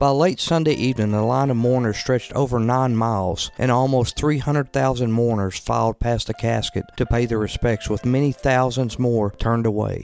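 A man with an unremarkable speaking voice talks at a moderate pace and medium pitch, with fairly even intonation, very even loudness and hardly any pauses. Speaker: podcast host. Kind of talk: scripted narration of history. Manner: measured, formal.

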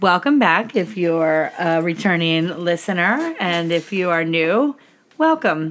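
Over noticeable background noise, a woman speaks very slowly at a fairly low pitch. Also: ordinary pitch variation. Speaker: podcast host. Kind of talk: casual chat. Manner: laughs often.

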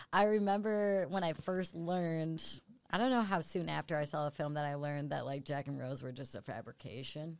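A woman with an American accent, very deep and low in pitch, fairly quick and lively in intonation, on a very clean recording with a silent background. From upstate New York. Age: 30s. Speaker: podcast host. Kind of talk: casual chat.

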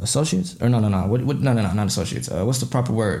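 Audible room echo surrounds a man with an American accent whose voice is somewhat breathy, with a dark, mellow tone. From Minnesota. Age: 20s. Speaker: rapper. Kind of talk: casual chat.

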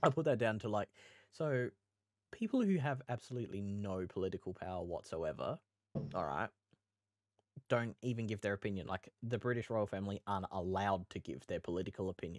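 In a very clean recording with a silent background and a dry, close sound with no echo, a man speaks at a fairly quick pace with ordinary pitch variation and long, frequent pauses. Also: fairly low pitch for a man. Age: young. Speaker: podcast co-host. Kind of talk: casual chat.

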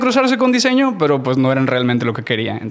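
Noticeable background noise sits under a man speaking at a fairly high pitch with ordinary pitch variation. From Mexico, Matamoros, Tamaulipas. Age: 30s. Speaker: graphic designer. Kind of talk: casual interview.

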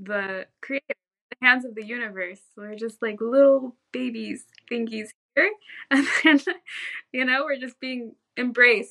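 A woman with an American accent speaks at a fairly slow pace and a high pitch with ordinary pitch variation. Her bright, sharp tone comes with big swings in loudness and long, frequent pauses. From Southern California. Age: 20s. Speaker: yoga practitioner and real estate agent. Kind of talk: interview conversation.

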